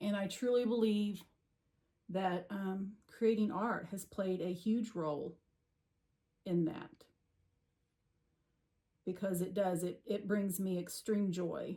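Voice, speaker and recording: Speaking with an American accent, a woman goes at a very slow pace with long, frequent pauses, a somewhat breathy sound and fairly even intonation. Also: medium pitch for a woman. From Missouri. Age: 60s. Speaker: watercolor painter. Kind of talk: personal story talk to camera.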